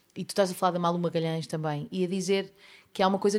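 A woman speaks with a European Portuguese accent in a very clean recording with a silent background. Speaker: podcast host, songwriter. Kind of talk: casual interview.

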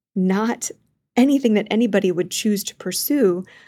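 A woman's dark, mellow voice with a Midwestern US accent, at a moderate pace with ordinary pitch variation, on a very clean recording with a silent background. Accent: US Midwest. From Kansas (Wichita). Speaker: liturgy program director and author. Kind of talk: interview.

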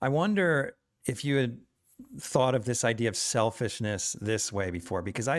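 Captured on a very clean recording with a silent background, a man uses a normal speaking voice with lively intonation. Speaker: podcast host. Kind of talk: interview.

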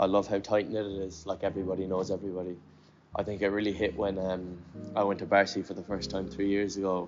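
A man's fairly low voice with a Cork accent, very fast and in monotone, flat intonation. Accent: Cork Irish. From Cork, Ireland. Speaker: skateboarder. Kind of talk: interview.

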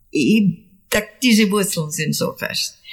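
Breathing somewhat audibly, a woman talks very slowly at medium pitch. Her pitch variation is ordinary. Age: 80s+. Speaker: artist and storyteller. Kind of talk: interview. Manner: halting, many repeats.

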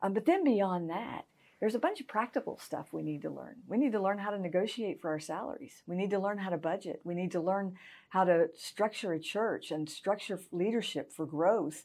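A woman speaks at a fairly quick pace with a medium pitch and ordinary pitch variation. The recording is very clean, with a silent background. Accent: Southern US. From US South, Augusta, Georgia. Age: 50s. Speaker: pastor. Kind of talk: interview.

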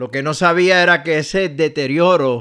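A man's normal speaking voice at a fairly slow pace, with ordinary pitch variation. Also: very clean recording, silent background. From Puerto Rico. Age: 60s. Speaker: pastor. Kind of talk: radio devotional message.

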